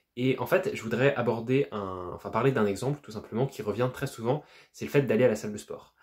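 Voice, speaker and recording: A man's fairly quick, somewhat breathy speech, with ordinary pitch variation. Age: young. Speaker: entrepreneur, self-improvement YouTuber. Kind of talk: casual talk to camera.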